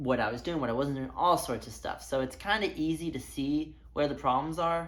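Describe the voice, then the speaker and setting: A woman at a moderate pace, with audible room echo around her voice. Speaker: amateur runner vlogger. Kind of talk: casual vlog talk to camera.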